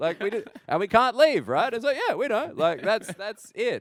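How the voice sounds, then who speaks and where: In an Australian accent, a man talks at an extremely high pitch with very wide pitch swings, and the sound is dry and close with no echo. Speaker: stand-up comedian. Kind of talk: interview answer.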